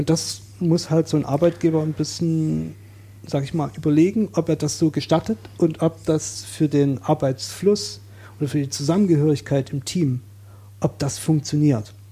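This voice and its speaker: A man's fairly high, somewhat breathy voice with a dark, mellow tone, lively intonation and a moderate pace. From Saxony, eastern Germany. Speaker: coworking space user, self-employed IT worker. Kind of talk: casual podcast interview.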